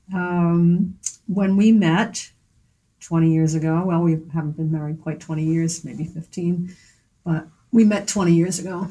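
Speaking very slowly with an American accent, a woman uses a fairly low, somewhat breathy voice and fairly even intonation. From Philadelphia. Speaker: artist and art teacher. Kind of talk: interview. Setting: gallery.

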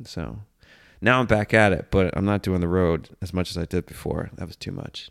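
A man speaks at a very deep, low pitch and a moderate pace. His loudness swings widely on a very clean recording with a silent background. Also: ordinary pitch variation. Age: 30s. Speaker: comedian. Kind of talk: casual monologue.

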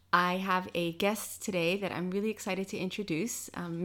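Speaking at a moderate pace with a New York accent, a woman uses a medium pitch and ordinary pitch variation on a very clean recording with a silent background. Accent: American, New York. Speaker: podcast host. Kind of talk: casual interview chat; scripted outro.

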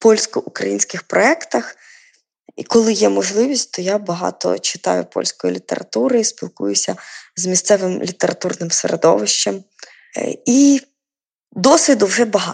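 A woman's speech at a moderate pace with long, frequent pauses, dry and close with no echo. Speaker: poet and editor. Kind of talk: interview.

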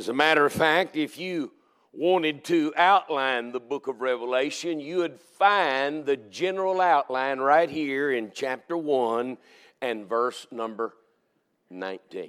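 On a very clean recording with a silent background, a man speaks at a fairly slow pace in a Southern US accent. His pitch is fairly high, with ordinary variation. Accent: Southern American. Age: 60s. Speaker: Baptist preacher. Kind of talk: sermon. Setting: church.

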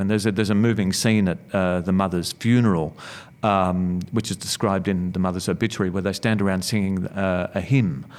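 A man's fairly low voice with an Australian accent, at a fairly quick pace with ordinary pitch variation, in a very clean recording with a silent background. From Melbourne, Australia (western suburbs). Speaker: author and former university lecturer. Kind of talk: interview. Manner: halting, many fillers.

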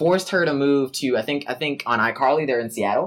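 The speaker has a plain, everyday voice with lively intonation. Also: man. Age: 20s. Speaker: podcast co-host. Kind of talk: casual chat.

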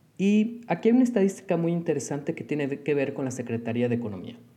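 A man speaks with a Mexican accent in a dark, mellow tone. His pitch makes very wide swings. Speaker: business consultant and lecturer. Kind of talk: solo podcast monologue.

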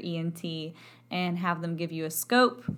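Speaking with an American accent, a woman talks at a fairly low pitch. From Texas. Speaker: voice professor. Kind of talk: educational podcast talk. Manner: animated.

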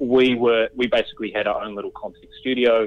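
In a New Zealand accent, a man talks at a moderate pace. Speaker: company CEO. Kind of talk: interview. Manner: halting, with frequent repetitions.

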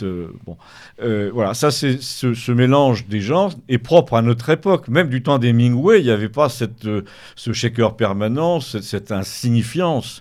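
A man in a plain, everyday voice speaks with ordinary pitch variation and keeps a moderate pace. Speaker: author. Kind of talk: radio interview.

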